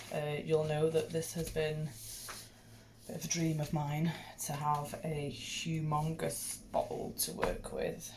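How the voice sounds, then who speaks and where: A woman talks quietly at a very slow pace with a Welsh accent. Noticeable background noise runs behind her. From Wales. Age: young. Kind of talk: casual hobby tutorial talk to camera.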